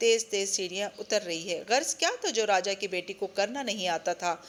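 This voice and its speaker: With an unremarkable speaking voice, a woman talks at a medium pitch. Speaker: audiobook narrator. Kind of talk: audio novel reading.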